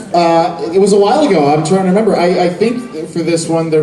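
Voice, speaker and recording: With audible room echo and noticeable background noise, someone talks at a moderate pace. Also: man. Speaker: voice actor. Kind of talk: convention panel talk. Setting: stage with audience.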